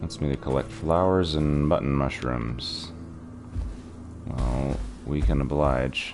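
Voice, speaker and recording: A man with a very deep, low voice speaks at a very slow pace with ordinary pitch variation and long, frequent pauses while music plays in the background. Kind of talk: casual gameplay commentary. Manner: quieter than usual.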